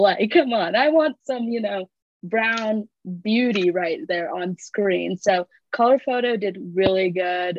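A woman in a plain, everyday voice with an American accent, medium pitch and ordinary pitch variation. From US Midwest (Michigan). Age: 20s. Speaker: recent graduate, podcast guest. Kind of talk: casual chat.

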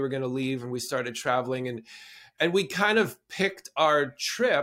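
In a Canadian accent, a man talks at a moderate pace in an unremarkable speaking voice. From southern Alberta, Canada. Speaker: performer and producer. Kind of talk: interview.

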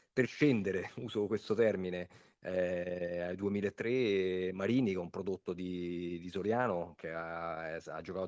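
This man has a very deep, low voice with fairly even intonation. The sound is dry and close, with no echo. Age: 40s. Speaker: amateur football coach. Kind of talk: interview. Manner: hesitant, repeats words.

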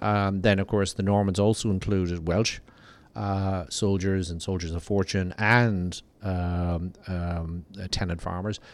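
In a very clean recording with a silent background, a man talks at a fairly low pitch with an Irish accent. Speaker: diplomat. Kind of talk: casual chat. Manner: halting, many repeated words.

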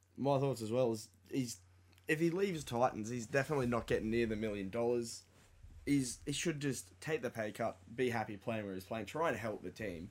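A man with an Australian accent talks fairly quickly at a medium pitch with ordinary pitch variation. The recording is very clean, with a silent background. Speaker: sports podcast co-host. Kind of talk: casual chat. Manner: animated.

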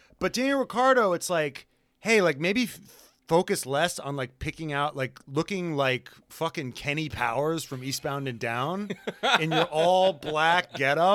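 On a very clean recording with a silent background, a man speaks at a fairly high pitch. His tone is animated and his intonation lively. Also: fairly slow pace. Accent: American. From New York. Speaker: podcast host. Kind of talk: casual banter, comedic and profane. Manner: animated, joking.

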